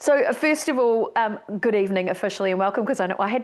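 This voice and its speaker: A woman with a slight New Zealand accent, fairly high-pitched, talking at a very fast pace in an enthusiastic, animated tone with ordinary pitch variation. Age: middle-aged. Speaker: speaker organisation leader, keynote speaker. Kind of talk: online welcome presentation. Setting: live Zoom broadcast from home studio.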